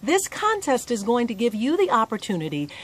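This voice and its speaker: The sound is dry with no echo. A woman speaks at a moderate pace. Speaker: host promoting a contest. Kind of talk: casual vlog chat. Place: garden. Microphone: phone near.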